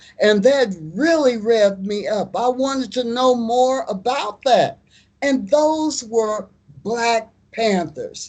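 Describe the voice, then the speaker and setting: Speaking very slowly with an American accent, a woman uses a fairly high pitch with ordinary pitch variation. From US Midwest, Kansas City, Kansas. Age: 70s. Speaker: musician and former activist. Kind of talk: interview.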